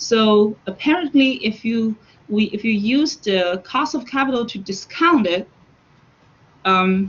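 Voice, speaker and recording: A woman speaks at a fairly slow pace in a plain, everyday voice. Her pitch is fairly high and her intonation lively. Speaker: university finance lecturer. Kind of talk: online lecture. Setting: online class, students muted.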